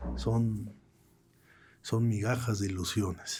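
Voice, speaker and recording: A man speaks at a medium pitch with a Mexican accent. His voice is somewhat breathy, with fairly even intonation. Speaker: political cartoonist. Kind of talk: interview conversation. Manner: halting, repeats words.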